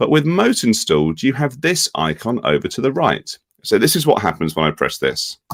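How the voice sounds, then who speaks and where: A man with a British accent at a moderate pace, the sound dry and close with no echo. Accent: UK. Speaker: education technology executive. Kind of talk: software demonstration webinar.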